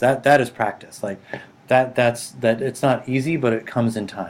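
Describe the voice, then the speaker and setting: Speaking in an American accent, the voice holds a moderate pace. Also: man. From US Northeast, Boston. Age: middle-aged. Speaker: artist and user experience designer. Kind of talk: interview conversation. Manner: halting, many fillers.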